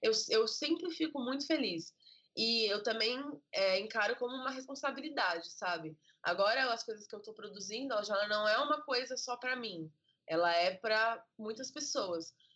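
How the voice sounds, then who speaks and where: A woman with a normal speaking voice talks at a fairly high pitch. She keeps a moderate pace and lively intonation. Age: 20s. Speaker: children's book author and illustrator. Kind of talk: casual interview.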